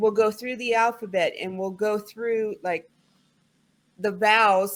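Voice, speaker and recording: This woman speaks with a slight Southern US accent. Her pitch is fairly high. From US South. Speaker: English tutor. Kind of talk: online tutoring conversation.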